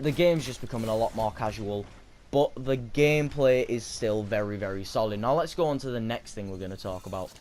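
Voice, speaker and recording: The delivery is fairly quick, with lively intonation. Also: man. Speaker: gaming YouTuber. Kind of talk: video game review. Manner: fast.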